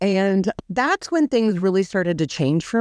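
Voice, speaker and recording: A woman with an American accent and a normal speaking voice, at a moderate pace with ordinary pitch variation, in a dry, close sound with no echo over a quiet background. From Orange County, California. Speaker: guest telling her story. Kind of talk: personal testimony interview.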